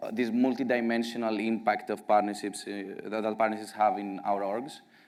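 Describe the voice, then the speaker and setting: Speaking at a moderate pace, a man with a strong Greek accent has a medium pitch. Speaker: partnerships director at a software company. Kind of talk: conference talk. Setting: stage with audience at a conference.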